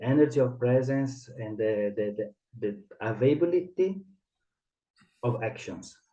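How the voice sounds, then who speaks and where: In an Italian accent, a man talks fairly slowly at a medium pitch, his tone dark and mellow and somewhat breathy. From Italy. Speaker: theatre director and mask teacher. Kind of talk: interview. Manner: halting.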